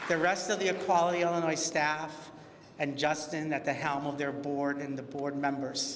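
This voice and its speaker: The intonation stays fairly even. Noticeable background noise and audible room echo fill the recording. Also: man, fairly high pitch for a man, moderate pace. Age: 60s. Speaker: LGBTQ community organization founder. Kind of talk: award acceptance speech.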